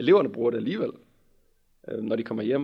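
This man talks at a very fast pace. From West Jutland, Denmark (near Holstebro). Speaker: teacher student. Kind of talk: casual chat.

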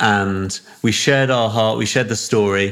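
Noticeable background noise runs under the recording. A man with a fairly low pitch speaks at a moderate pace in a monotone, flat intonation. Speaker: church network leader. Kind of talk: casual interview conversation.

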